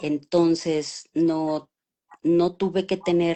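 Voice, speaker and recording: This is a woman's voice, fairly low in pitch. Her intonation stays fairly even. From Mexico City. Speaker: voice actress. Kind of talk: interview. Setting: live stream video call.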